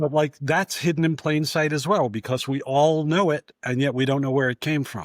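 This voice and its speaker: With an American accent, a man talks in an ordinary speaking voice at a fairly high pitch, keeping a moderate pace with hardly any pauses and fairly even intonation, in a dry, close sound with no echo. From New York. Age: 60s. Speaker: author and former film critic. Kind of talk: podcast interview.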